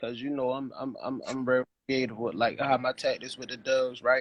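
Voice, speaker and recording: A man's medium-pitched voice with a Baltimore accent at a fairly quick pace. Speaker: dog breeder and live show host. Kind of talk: casual chat. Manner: stammering, repeats words.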